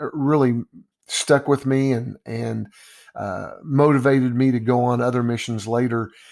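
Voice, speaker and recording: With a Texan accent, a man talks at a fairly slow pace, his medium pitch held in fairly even intonation. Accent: Texan (US Southern). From Texas, Dallas. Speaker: basketball coach. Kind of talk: podcast monologue. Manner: hesitant, many fillers.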